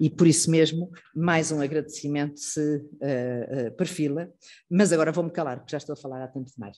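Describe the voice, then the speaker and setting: A woman's very deep, low voice with a dark, mellow tone and a European Portuguese accent, fairly quick and fairly even in intonation, with big swings in loudness. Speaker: institute director hosting a lecture. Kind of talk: formal introduction speech. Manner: hesitant, many fillers.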